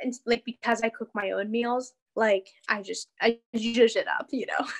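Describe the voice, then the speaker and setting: A woman with an American accent and a fairly high pitch has an unremarkable speaking voice, talking at a moderate pace with a dry, close sound and no echo. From Pennsylvania, Pittsburgh area. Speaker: dancer and choreographer. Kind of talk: casual interview. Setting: video call.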